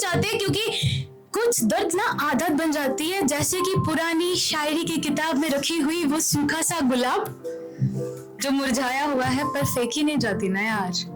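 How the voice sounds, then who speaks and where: Over music in the background, a woman speaks in a high voice with very wide pitch swings yet very even loudness. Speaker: spoken word poet. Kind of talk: spoken word poetry performance. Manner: emotional, reflective.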